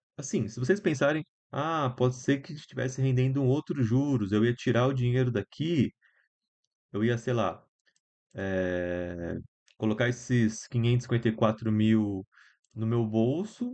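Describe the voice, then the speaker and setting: The speaker leaves long pauses, and often. The pace is fairly slow, with ordinary pitch variation. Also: man, medium pitch for a man. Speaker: student tutor. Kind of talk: online lecture. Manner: casual, halting.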